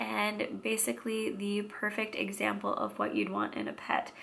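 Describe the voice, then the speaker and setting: A woman with an American accent speaks at a fairly slow pace. Background noise is noticeable. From Washington State, US. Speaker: vlogger. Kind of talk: casual vlog monologue.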